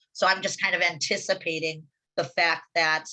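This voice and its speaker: Against a quiet background, a woman with a bright, sharp tone and a fairly low pitch talks at a moderate pace. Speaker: wildlife advocacy presenter. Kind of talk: online meeting presentation.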